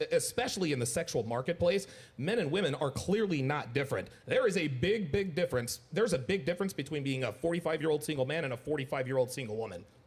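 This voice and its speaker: A man talks at a very fast pace with a fairly high pitch. His intonation is lively and his voice somewhat breathy. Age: 40s. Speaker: podcast guest. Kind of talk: panel discussion.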